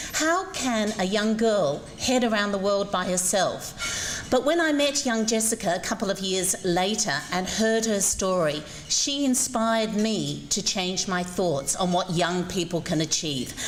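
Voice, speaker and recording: Speaking with an Australian accent, a woman with a medium pitch talks at a fairly slow pace with hardly any pauses and very even loudness, against noticeable background noise and audible room echo. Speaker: former ballet dancer, invited speaker. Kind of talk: public speech. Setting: breakfast event with audience.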